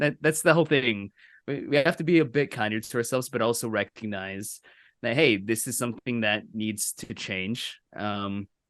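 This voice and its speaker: In a plain, everyday voice, a man speaks at a moderate pace and medium pitch with ordinary pitch variation, recorded dry and close with no echo against a quiet background. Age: 20s. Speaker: friend of host. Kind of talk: casual chat. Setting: video call.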